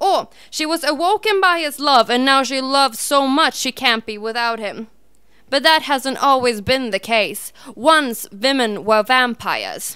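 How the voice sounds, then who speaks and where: Projecting a raised voice, a woman speaks at a high pitch with a bright, sharp tone. Her pace is fairly slow and her intonation lively. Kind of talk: spoken word poetry performance. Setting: live open-mic venue.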